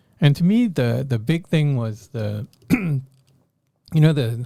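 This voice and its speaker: A somewhat breathy voice with a dark, mellow tone, moderate pace and ordinary pitch variation. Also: man. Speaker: politician and infectious disease professor. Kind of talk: interview.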